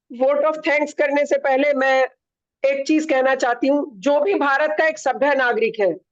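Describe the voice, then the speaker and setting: A woman with a high pitch speaks at a fairly slow pace. Her pitch variation is ordinary. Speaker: human rights activist; event co-organiser. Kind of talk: vote of thanks in a webinar. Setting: online webinar.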